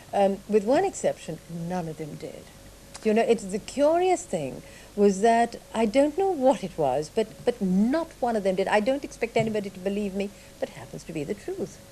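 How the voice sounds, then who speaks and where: A woman talks at a moderate pace in a fairly high voice with very wide pitch swings. Noticeable background noise sits behind her. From Sri Lanka, Malaysia and England. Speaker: writer and artists' model. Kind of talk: radio interview.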